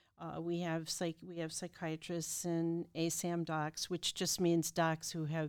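Recorded very cleanly with a silent background, a woman speaks at a fairly slow pace with a fairly low pitch and monotone, flat intonation. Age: old. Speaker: CEO of a behavioral health care provider, former therapist. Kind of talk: interview.

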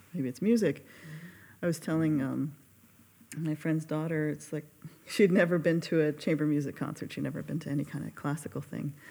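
A woman's very deep, low voice, dark and mellow in tone with vocal fry, fairly quick yet broken by long, frequent pauses. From Carson, California. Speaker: pianist and accompanist. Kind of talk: casual podcast interview.

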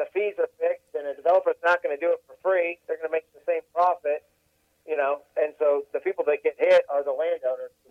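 A man is speaking here. He has an American accent and talks at a fairly quick pace. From Tampa, Florida. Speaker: land real estate consultant. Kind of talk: casual chat.

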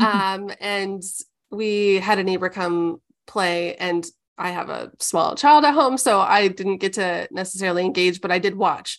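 A woman with an ordinary speaking voice and an American accent, medium pitch, ordinary pitch variation and a fairly slow pace over a quiet background. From Omaha, Nebraska. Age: 30s. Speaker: ministry community leader. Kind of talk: casual chat.

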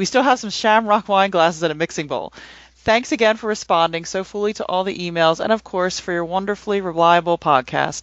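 A woman's plain, everyday voice at medium pitch, fairly quick in pace, with ordinary pitch variation. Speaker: podcast panelist. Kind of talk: casual discussion.

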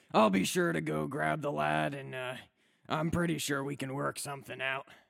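Using a raspy, put-on character voice, a man talks at a moderate pace and medium pitch with very wide pitch swings. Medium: actual play. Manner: casual, easygoing.

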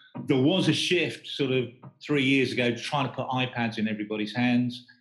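The speaker has an unremarkable speaking voice, moving at a moderate pace with fairly even intonation. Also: man. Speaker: stand design agency professional. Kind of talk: casual interview.

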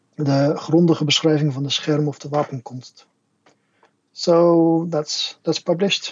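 The delivery is monotone, with flat intonation and a fairly slow pace. A Dutch accent comes through. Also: man, fairly high pitch for a man. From Netherlands. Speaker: martial arts instructor and translator. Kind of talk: casual interview chat. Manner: halting, repeats words.

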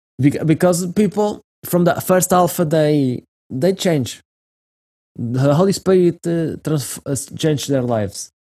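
A man with a Portuguese accent, fairly high pitch, ordinary pitch variation, a dark, mellow tone, and a fairly slow pace. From Portugal. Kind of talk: interview conversation. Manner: halting.

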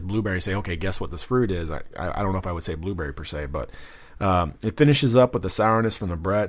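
A man's very deep, low voice with vocal fry, very fast and with lively intonation. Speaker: beer radio co-host. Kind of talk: casual chat.

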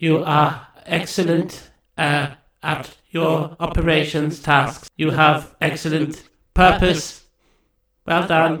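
In a put-on character voice, a man speaks very slowly with a raspy, fairly high pitch and monotone, flat intonation. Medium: audio drama. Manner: eager to help; flat, literal, stilted robotic phrasing.

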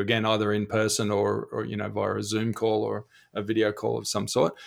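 A fairly low-pitched man with an Australian accent and vocal fry, at a fairly quick pace, on a very clean recording with a silent background. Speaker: e-learning executive and teacher. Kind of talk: casual podcast interview. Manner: friendly, jokey.

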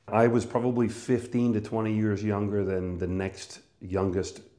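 A fairly low-pitched man with a Canadian accent, fairly even intonation and audible room echo. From Canada, northern Manitoba. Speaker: business coach and speaker. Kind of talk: personal monologue about career.

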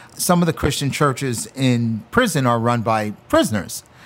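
A normal speaking voice goes at a moderate pace. Its intonation is lively. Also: man. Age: 50s. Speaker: chef and former prisoner. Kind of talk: interview testimony.

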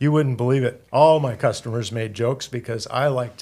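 A man talks at a medium pitch and sounds somewhat breathy. His intonation is fairly even and his pace moderate on a very clean recording with a silent background. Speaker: retired clothing store owner. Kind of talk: interview.

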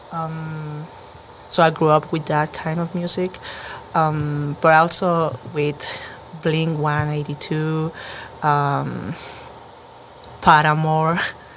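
Someone speaks with a Chilean accent over noticeable background noise. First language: Spanish. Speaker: band musician. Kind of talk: casual interview.

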